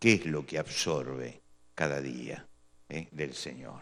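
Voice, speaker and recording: A man with vocal fry talks at a fairly slow pace. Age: 60s. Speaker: pastor. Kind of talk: sermon.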